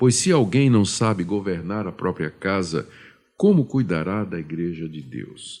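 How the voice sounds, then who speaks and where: In a very clean recording with a silent background, a man with a very deep, low pitch talks at a fairly slow pace, his intonation lively and his loudness swinging widely. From Brazil, Pernambuco. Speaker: pastor. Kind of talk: radio Q&A, Bible exposition. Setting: studio. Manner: hesitant, with fillers.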